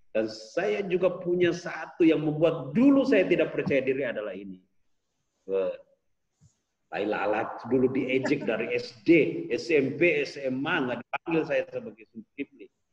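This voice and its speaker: A man speaks fairly slowly at a fairly high pitch, with very wide pitch swings and big swings in loudness. Vocal fry runs through his voice. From Makassar, South Sulawesi, Indonesia. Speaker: sales trainer and author. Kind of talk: online course interview.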